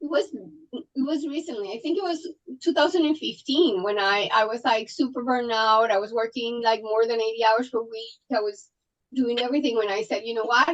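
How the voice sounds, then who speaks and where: Speaking at a fairly quick pace, a woman with a Colombian accent has a high pitch and ordinary pitch variation. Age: 40s. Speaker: trauma surgeon. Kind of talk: podcast interview. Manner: animated, intense.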